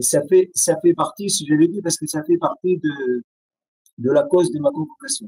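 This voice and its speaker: A man's high-pitched voice with a dark, mellow tone, lively intonation and an Arabic accent at a moderate pace, the sound dry and close with no echo. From Syria. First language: Arabic (speaking French). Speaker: writer and poet. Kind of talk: interview testimony. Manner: halting, many hesitations.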